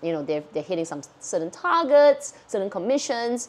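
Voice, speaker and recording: A woman's animated voice with lively intonation, at a moderate pace. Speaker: luxury fashion YouTuber. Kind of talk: casual Q&A chat.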